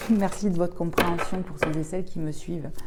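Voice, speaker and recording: Soft-spoken and calm in tone, this voice moves at a fairly quick pace with monotone, flat intonation, set against noticeable background noise and audible room echo. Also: woman. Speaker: tarot/oracle card reader. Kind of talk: oracle card reading.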